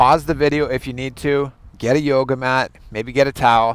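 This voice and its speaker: The speaker is a man. The sound is dry with no echo. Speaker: fitness coach. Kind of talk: casual workout intro talk. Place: garden. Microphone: headset.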